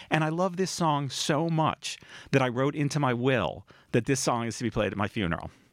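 An ordinary speaking voice, a man with an American accent talks at a fairly quick pace and fairly high pitch with lively intonation, on a very clean recording with a silent background. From US Northeast, Cambridge, Massachusetts. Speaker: author. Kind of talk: radio interview. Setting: radio studio.

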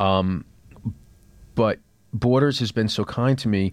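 On a very clean recording with a silent background, a man with a New York accent speaks at a fairly low pitch and a fairly slow pace with ordinary pitch variation. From New York City. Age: 30s. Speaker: TV writer and author. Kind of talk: interview. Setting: studio.

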